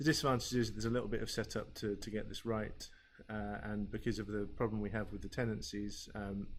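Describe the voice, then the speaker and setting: With audible room echo, a man talks at a very fast pace in monotone, flat intonation. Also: fairly low pitch for a man. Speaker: learning technologist. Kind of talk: tutorial.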